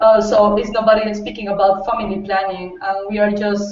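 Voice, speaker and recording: With monotone, flat intonation, a woman talks at a moderate pace in a medium pitch. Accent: Spanish. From Costa Rica. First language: Spanish. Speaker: youth advocate, political science student. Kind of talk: panel discussion. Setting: video call. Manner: halting.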